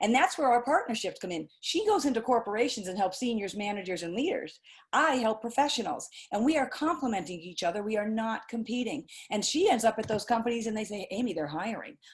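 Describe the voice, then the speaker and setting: Somewhat breathy and animated, a woman talks at a very fast pace in a fairly high pitch with very wide pitch swings against a quiet background. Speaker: career coach and webinar host. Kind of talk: live webinar talk. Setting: video call.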